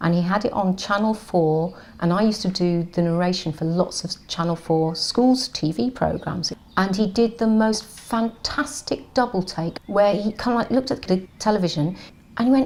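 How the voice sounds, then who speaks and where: In a normal speaking voice, a woman at a medium pitch talks at a moderate pace with lively intonation. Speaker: actor and voiceover artist. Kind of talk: interview answer. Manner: chatty, self-deprecating.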